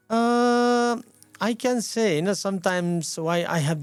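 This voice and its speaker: A man with a Nepali accent speaks at a fairly slow pace. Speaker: community leader and former police officer. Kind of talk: radio interview. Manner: halting.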